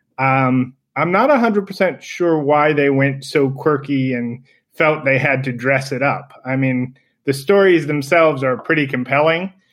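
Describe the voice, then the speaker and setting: A man speaks in an ordinary speaking voice at a fairly slow pace, with a fairly high pitch and ordinary pitch variation. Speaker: eyewear designer. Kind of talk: casual chat.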